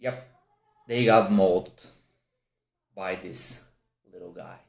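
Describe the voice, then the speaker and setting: A man with a medium pitch and lively intonation speaks at a very slow pace. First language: not English. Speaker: whisky reviewer. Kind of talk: product review. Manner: halting; animated.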